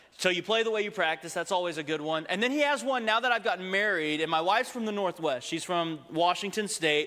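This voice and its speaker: A man's raised, projected voice, high-pitched, very fast and with hardly any pauses, with lively intonation and an American accent, over noticeable background noise. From Texas. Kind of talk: sermon. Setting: church.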